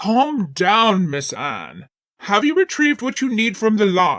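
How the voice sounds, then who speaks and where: Using a put-on character voice, a man talks at a fairly slow pace, high-pitched for a man, with very wide pitch swings. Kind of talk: Victorian period speech. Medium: read story. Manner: formal, calm.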